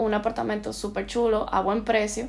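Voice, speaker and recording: A woman is heard with audible room echo. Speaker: postgraduate student in interior design. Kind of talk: casual chat.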